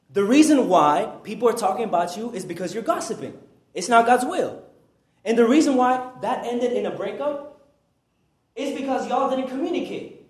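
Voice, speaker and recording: With audible room echo, a man speaks at a moderate pace in an extremely high-pitched, animated voice, showing very wide pitch swings and big swings in loudness. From Peru. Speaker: preacher. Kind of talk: sermon. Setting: church.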